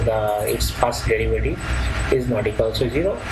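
There is noticeable background noise behind a man speaking with an Indian accent. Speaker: professor. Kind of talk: lecture. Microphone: webcam.

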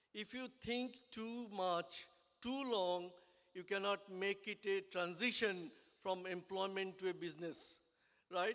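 Over a quiet background, a man speaks at a very slow pace. His pitch is high and his intonation fairly even. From India. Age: 70s. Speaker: business owner and engineer. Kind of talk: speech at a business networking event. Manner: halting. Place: hall. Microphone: podium.

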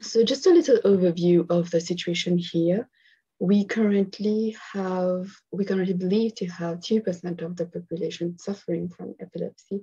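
Somewhat breathy and dark, mellow in tone, a woman talks at a moderate pace with fairly even intonation over a quiet background. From Mauritius. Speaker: psychologist; webinar presenter. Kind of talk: conference presentation. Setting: online video conference. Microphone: video call.

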